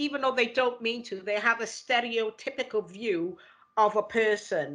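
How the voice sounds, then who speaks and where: There is a woman with a strong Welsh accent and a fairly high pitch. She talks at a moderate pace with ordinary pitch variation against a quiet background. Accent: Welsh, heavy. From Wales, Cardiff. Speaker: equality and diversity lead. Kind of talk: interview conversation. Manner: repeats words often, halting.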